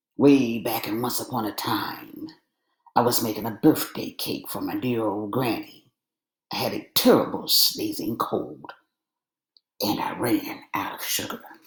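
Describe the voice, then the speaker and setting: The speaker is a man using a put-on character voice. He talks at a moderate pace. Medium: read story. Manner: aggrieved.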